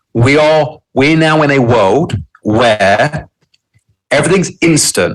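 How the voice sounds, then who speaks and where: Here a man speaks with a London accent. His fairly high voice has lively intonation. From London, England. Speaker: entrepreneur. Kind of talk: interview.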